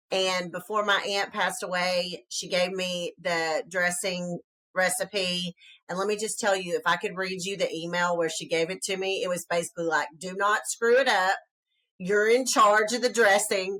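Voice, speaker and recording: A woman in a Southern US accent, medium in pitch, with a bright, sharp tone at a moderate pace. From US South. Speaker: podcast co-host. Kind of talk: casual podcast chat. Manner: animated.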